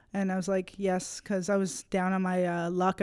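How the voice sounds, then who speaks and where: A woman with a Canadian accent, medium pitch and a dark, mellow tone, talking at a very fast pace in a very clean recording with a silent background. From Nova Scotia, Canada. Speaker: college student and comedian. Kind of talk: casual chat.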